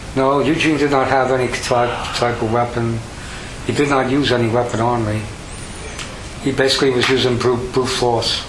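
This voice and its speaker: A man speaks at medium pitch and a moderate pace, in a flat monotone with very even loudness and long, frequent pauses. Noticeable background noise runs behind him. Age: old. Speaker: crime victim. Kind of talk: police interview answer. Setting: recorded police interview. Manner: calm, composed.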